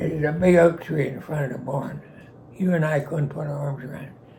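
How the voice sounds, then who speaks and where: Speaking at a moderate pace, a man with a Western Pennsylvania accent has a fairly high pitch. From Pittsburgh, Pennsylvania. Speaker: war veteran. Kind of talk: storytelling interview. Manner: witty, charismatic.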